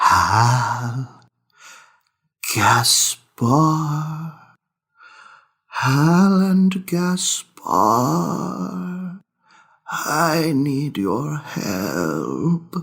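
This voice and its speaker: A breathy put-on character voice in a low-to-middle pitch, very slow, with long, frequent pauses. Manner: calling, pleading for help.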